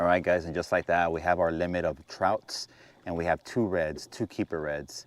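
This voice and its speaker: Against a quiet background, a man with a very deep, low voice keeps a moderate pace, the sound dry and close with no echo. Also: fairly even intonation. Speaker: fishing video creator. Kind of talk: casual fishing vlog narration. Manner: quiet, subdued.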